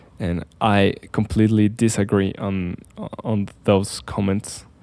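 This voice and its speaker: In a non-native accent, a dark, mellow voice speaks at a very slow pace. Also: man. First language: not English. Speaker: architect, video creator. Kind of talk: casual explainer. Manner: halting, with fillers.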